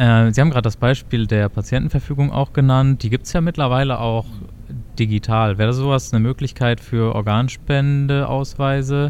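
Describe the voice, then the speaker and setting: At a moderate pace, a man with an unremarkable speaking voice talks at a medium pitch, his loudness very even and his intonation fairly even. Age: 20s. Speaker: health economics student, podcast co-host. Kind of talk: casual chat and interview.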